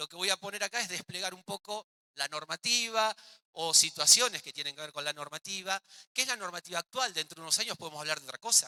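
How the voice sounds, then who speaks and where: A man talks at a very fast pace in a high pitch, with ordinary pitch variation and big swings in loudness. The tone is bright and sharp, and the sound is dry and close with no echo. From Argentina. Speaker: physical education teacher, workshop leader. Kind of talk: workshop lecture.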